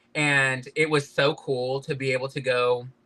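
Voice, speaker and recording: A man with a Southern US accent speaks very slowly in a bright, sharp tone with fairly even intonation. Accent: Southern twang. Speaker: podcast guest, fashion industry worker. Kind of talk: casual interview chat. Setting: live-streamed podcast interview.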